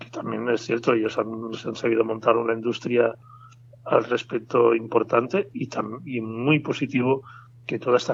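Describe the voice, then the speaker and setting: A man's medium-pitched, flat, monotone voice at a moderate pace, with noticeable background noise. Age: 60s. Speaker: bonsai expert. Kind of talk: interview. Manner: halting, with frequent fillers.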